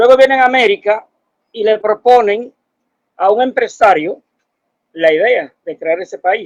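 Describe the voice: A man with a high voice speaks at a fairly slow pace with ordinary pitch variation, in a dry, close sound with no echo.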